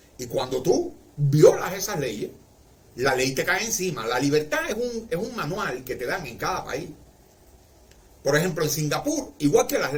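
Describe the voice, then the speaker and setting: A man with a Cuban accent speaks in a fairly high pitch at a fairly slow pace. His pitch swings very widely, and the room echo is audible. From Cuba, Marianao, Havana. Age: 60s. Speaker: livestreamer. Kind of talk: casual livestream monologue.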